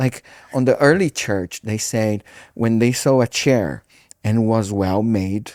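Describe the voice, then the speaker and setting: With a Brazilian Portuguese accent, a man speaks at a very slow pace and medium pitch with ordinary pitch variation, on a very clean recording with a silent background. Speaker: pastor. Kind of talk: casual chat. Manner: halting.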